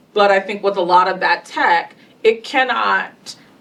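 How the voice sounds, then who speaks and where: With an American accent, the speaker talks at a fairly slow pace and with ordinary pitch variation over noticeable background noise. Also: woman. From US South. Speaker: panelist, tech industry leader. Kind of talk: panel discussion.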